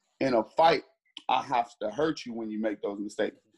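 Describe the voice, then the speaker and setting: With an American accent and an unremarkable speaking voice, a man of medium pitch talks at a moderate pace in a dry, close sound with no echo. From US Midwest, Cleveland, Ohio. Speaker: bare knuckle fighter. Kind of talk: interview.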